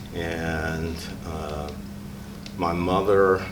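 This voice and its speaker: A man with a very deep, low pitch and an American accent speaks with fairly even intonation, with audible room echo and noticeable background noise. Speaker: former student interviewee. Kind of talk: interview.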